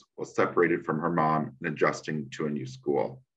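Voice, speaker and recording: A man speaks at a moderate pace with vocal fry. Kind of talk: conference presentation. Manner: halting.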